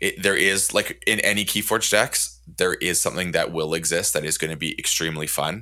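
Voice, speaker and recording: Hardly pausing at all, a man goes along at a fairly quick pace. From Canada. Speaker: podcast host. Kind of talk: casual chat.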